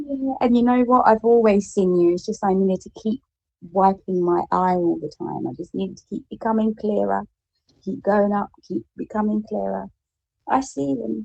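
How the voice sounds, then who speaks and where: A woman speaks with an English accent. The sound is dry and close, with no echo. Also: moderate pace. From England. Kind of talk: casual chat. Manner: proper, refined.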